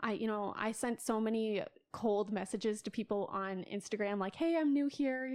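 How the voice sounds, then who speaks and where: A woman with an American accent and a normal speaking voice talks at a moderate pace, fairly high in pitch with ordinary pitch variation. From South Dakota, US Midwest. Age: 20s. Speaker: photographer and art student. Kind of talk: casual chat.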